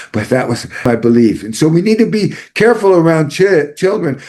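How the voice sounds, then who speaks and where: A man's voice with audible room echo. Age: 60s. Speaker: psychology professor. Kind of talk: lecture. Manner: halting.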